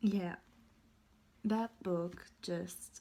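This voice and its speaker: A woman's voice comes through somewhat breathy, with a dark, mellow tone. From Germany. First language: German. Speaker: booktuber. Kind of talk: casual vlog review. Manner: halting.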